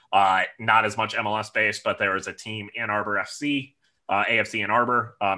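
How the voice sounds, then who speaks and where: In a very clean recording with a silent background, a voice with a bright, sharp tone and a Midwestern American accent speaks at a moderate pace. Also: man. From Michigan, near Detroit. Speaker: soccer supporters club president. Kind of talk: interview.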